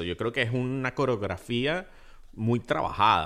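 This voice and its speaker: A man talks at a fairly slow pace with a medium pitch. The recording is very clean, with a silent background. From Venezuela. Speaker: podcast co-host, film commentator. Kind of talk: casual chat. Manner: halting.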